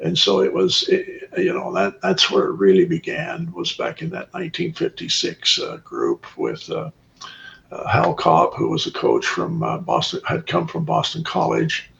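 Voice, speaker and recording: A man with an American accent speaks at a moderate pace. There is noticeable background noise. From Columbia Basin, Washington, USA. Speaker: former college football player. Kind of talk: podcast interview answer.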